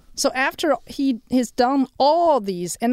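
Her pitch swings very widely as a woman talks on a very clean recording with a silent background. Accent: Chinese. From China. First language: Chinese. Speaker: horticulture professor. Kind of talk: radio interview. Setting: studio.

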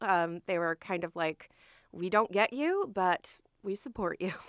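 An unremarkable speaking voice from a woman with an American accent, medium pitch and moderate pace, dry and close with no echo, on a very clean recording with a silent background. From New Jersey, Trenton. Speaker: museum education curator. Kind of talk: radio interview. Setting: studio.

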